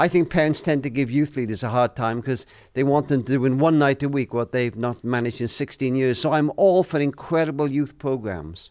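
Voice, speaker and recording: A man with a Welsh accent at a fairly quick pace, hardly any pauses, and a quiet background. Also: medium pitch for a man, ordinary pitch variation. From Wales. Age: 70s. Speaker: author and family charity leader. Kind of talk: interview.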